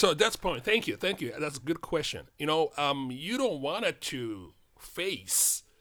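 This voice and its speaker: Speaking very slowly with a Japanese accent, a man uses vocal fry and a bright, sharp tone, his pitch swinging very widely, on a very clean recording with a silent background. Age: 60s. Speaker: karate practitioner. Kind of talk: casual chat. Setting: studio. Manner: halting.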